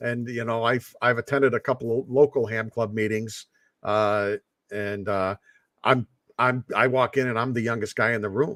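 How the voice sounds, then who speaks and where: A man's normal speaking voice at medium pitch, moderate pace and fairly even intonation, with a dry, close sound, no echo, and a very clean recording over a silent background. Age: 60s. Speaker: ham radio operator. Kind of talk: casual chat. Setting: live stream.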